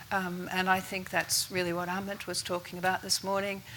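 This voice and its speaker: Bright and sharp in tone, a woman with an Australian accent talks at medium pitch and a fairly quick pace. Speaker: investor network chair. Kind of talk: panel discussion. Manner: soft-spoken.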